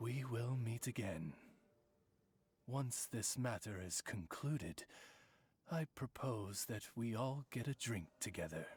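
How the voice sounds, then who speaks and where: Using a put-on character voice, a man speaks at a medium pitch and a fairly slow pace, leaving long, frequent pauses. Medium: video game. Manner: formal, eloquent.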